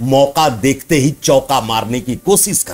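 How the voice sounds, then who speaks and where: The speaker has an Odia accent and vocal fry. The intonation is lively. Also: man. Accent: Odia-accented Hindi. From Odisha, India (Baripada area). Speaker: social commentator vlogger. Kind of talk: social commentary monologue.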